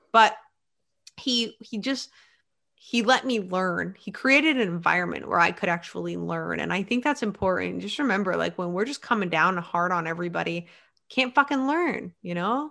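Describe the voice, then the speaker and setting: A woman speaks at a moderate pace with lively intonation and an animated, bright, sharp tone plus some vocal fry. The recording is very clean, with a silent background. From central Maine, US. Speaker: police officer and first responder wellness instructor. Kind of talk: casual interview chat.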